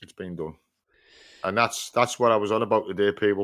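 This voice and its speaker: In a Yorkshire accent, a man talks at a fairly low pitch. The recording is very clean, with a silent background. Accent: northern English (Yorkshire). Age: 60s. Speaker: podcast host, van driver. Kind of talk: casual chat. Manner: animated.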